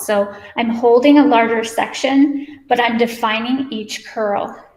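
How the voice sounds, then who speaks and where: Audible room echo hangs around the voice. The words come out at a very slow pace. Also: woman. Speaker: hair stylist educator. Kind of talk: live hair tutorial.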